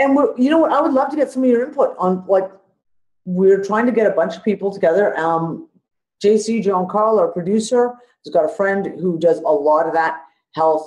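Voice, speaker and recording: Someone with a Canadian accent speaks at a moderate pace. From Canada (Ontario). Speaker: podcast host. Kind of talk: casual chat.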